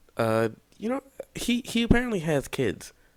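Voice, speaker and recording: A man speaks quietly at a fairly slow pace. His pitch swings very widely. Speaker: YouTube commentator. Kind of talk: casual commentary monologue. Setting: home recording at night. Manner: quiet, held-back talking; halting, many fillers and restarts.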